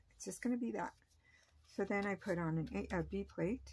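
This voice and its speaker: Soft-spoken and somewhat breathy, a woman with a fairly low-pitched voice talks at a moderate pace. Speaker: papercraft channel host. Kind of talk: tutorial. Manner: casual, hesitant with fillers.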